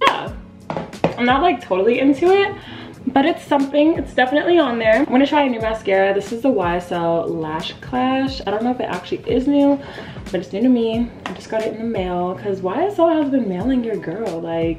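A woman talks at a fairly quick pace with clear music playing behind her. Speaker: beauty vlogger. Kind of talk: casual vlog chat. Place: home room.

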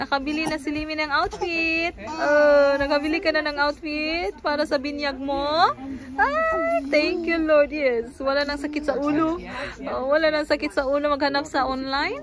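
A woman with a high pitch and fairly even intonation speaks at a moderate pace, the sound dry with no echo but with noticeable background noise. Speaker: mother vlogger. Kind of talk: casual vlog chat. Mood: cheerful, playful. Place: shop. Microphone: phone near.

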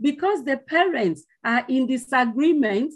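A woman's speech carries lively intonation, and the background is quiet. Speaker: conference presenter, lecturer. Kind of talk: conference paper presentation. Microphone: video call.

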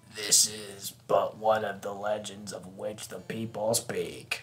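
A man's raspy, put-on character voice at a fairly low pitch. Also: fairly slow pace. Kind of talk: archaic, old-fashioned. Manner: solemn, epic narration.

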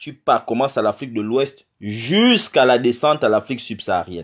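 Over a quiet background, a man talks at a fairly slow pace. His pitch sits in the medium range. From Gabon. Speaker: political activist. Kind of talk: political address to diaspora. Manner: hesitant, many fillers. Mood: earnest, indignant. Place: home room. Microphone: phone near.

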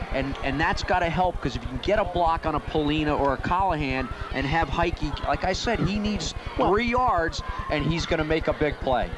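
A man's high-pitched voice at a fairly quick pace, very even in loudness, with ordinary pitch variation and noticeable background noise. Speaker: color commentator. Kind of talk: live color analysis during football broadcast. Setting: stadium broadcast booth. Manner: conversational, hesitant with fillers.

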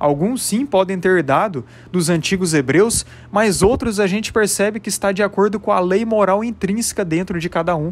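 With a Brazilian accent, a man talks at a moderate pace in a high pitch with ordinary pitch variation. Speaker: religious YouTuber. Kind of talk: religious reflection monologue.

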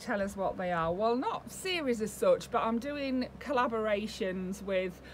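Over light background noise, a woman with a British accent talks at a moderate pace, her fairly high voice showing ordinary pitch variation. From UK. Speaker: doll collector YouTuber. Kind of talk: casual vlog talk to camera. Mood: warm, chatty. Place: home room. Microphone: webcam.

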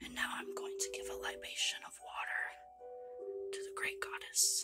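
Someone whispers at a moderate pace over loud music in the background. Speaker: ritual practitioner. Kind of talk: whispered ASMR talk to camera. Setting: home recording, basic mic. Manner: whispered. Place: home room. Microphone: phone near.

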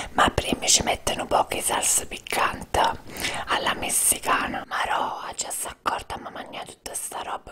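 A whispered voice, moving at a moderate pace. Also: man. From Naples, Italy. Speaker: eating show host. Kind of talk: casual talk to camera, eating show.

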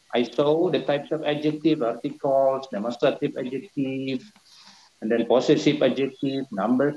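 A man with an Indonesian accent talks at a fairly quick pace. His voice is fairly high and has a dark, mellow tone. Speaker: university lecturer, thesis reviewer. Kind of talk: academic questioning.

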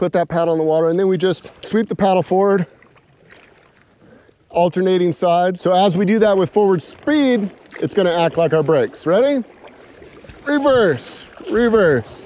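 A man talks at a moderate pace with long, frequent pauses. The sound is dry, with no echo. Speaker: kayak instructor. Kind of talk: tutorial. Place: waterside.

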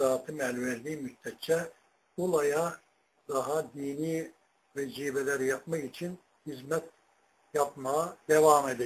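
Very slow speech from a man at a fairly high pitch, fairly even intonation, long and frequent pauses. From Turkey. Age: 80s+. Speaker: retired imam and muezzin; retired imam. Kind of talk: personal life story. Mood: calm, modest. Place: home room. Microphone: webcam.

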